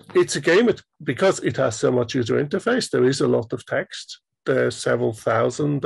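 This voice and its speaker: A man talks with a German accent. His pace is fairly quick. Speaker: indie game developer. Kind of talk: interview.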